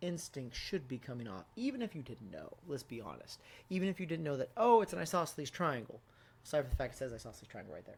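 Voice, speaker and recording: A man talks at a very fast pace with very wide pitch swings and vocal fry. The recording is very clean, with a silent background. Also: fairly high pitch for a man, big swings in loudness. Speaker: math teacher. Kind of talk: tutorial. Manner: casual, conversational.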